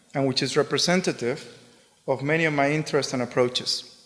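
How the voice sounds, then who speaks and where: A man with a Spanish accent and a fairly high pitch, fairly quick in pace, with fairly even intonation. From Spain. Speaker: artist. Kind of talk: lecture. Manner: monotone.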